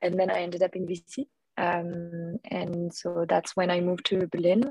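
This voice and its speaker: A woman speaks with a French accent at a fairly low pitch and fairly even intonation. The sound is dry and close, with no echo. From France. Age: 30s. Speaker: artist and former venture capitalist. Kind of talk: interview. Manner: hesitant, many fillers.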